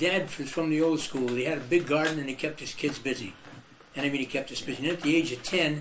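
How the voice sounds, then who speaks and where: Over noticeable background noise, someone with an American accent speaks very fast with fairly even intonation. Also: man, fairly high pitch for a man. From Iowa, US Midwest. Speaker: musician and band leader. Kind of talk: oral history interview. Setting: video interview.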